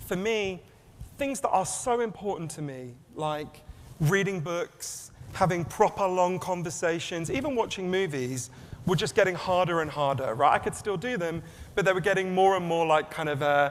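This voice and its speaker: With audible room echo, a man speaks in an English accent at a high pitch, his intonation lively. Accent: English accent, self-described as weird. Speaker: author and keynote speaker. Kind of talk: keynote talk. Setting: stage with audience. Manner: fast.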